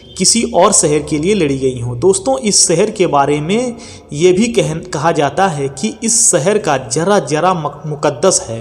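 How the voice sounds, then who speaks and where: With lively intonation, a man at a fairly high pitch speaks against noticeable background noise. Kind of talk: Islamic history narration. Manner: storytelling, addressing audience directly.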